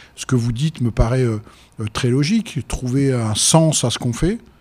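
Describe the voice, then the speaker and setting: Somewhat breathy male voice at medium pitch, moving at a fairly slow pace. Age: 60s. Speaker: business owner, restaurant entrepreneur. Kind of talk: debate.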